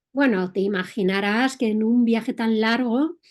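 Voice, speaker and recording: Speaking at a fairly slow pace in a Madrid accent, a woman with a fairly high pitch and ordinary pitch variation is heard in a very clean recording with a silent background. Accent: Castilian Spanish (Madrid). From Spain, Madrid. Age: 60s. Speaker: entrepreneur and motorcycle traveler. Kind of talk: interview.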